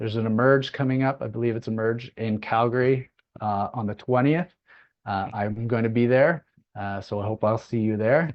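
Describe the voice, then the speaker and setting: At a moderate pace, a man with a medium pitch and a normal speaking voice keeps his intonation fairly even. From Nova Scotia, Canada. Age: 40s. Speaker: business opportunity presenter. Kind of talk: online business meeting presentation.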